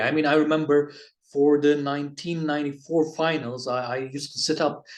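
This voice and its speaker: A man with a Turkish accent talks at a moderate pace in a fairly high pitch. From Turkey. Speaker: basketball video reviewer. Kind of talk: casual vlog monologue. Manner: halting, many fillers and restarts.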